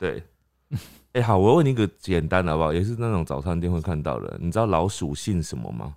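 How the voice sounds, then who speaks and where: On a very clean recording with a silent background, a man with a very deep, low voice talks at a fairly quick pace with lively intonation. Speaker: podcast co-host. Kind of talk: casual chat.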